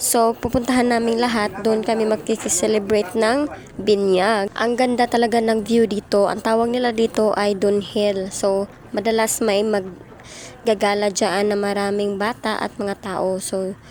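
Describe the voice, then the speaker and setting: A soft-spoken woman's fairly high voice with a monotone, flat intonation, a fairly slow pace and hardly any pauses, over noticeable background noise. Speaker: vlogger. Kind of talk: vlog voice-over narration. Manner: casual.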